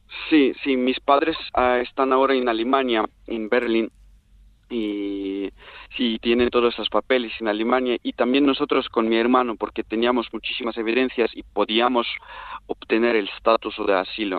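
This man has a medium pitch and fairly even intonation, speaking at a moderate pace. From Turkmenistan. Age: 20s. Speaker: refugee. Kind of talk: interview. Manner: halting.

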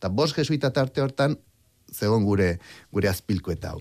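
Here is a man with an unremarkable speaking voice and a fairly low pitch. His intonation is lively. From Basque Country. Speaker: biologist and historian. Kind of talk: radio interview.

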